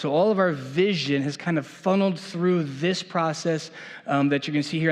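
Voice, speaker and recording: Delivered at a moderate pace with ordinary pitch variation, the speech carries audible room echo. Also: man. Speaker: church leader. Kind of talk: presentation to a church meeting. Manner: casual, with many fillers.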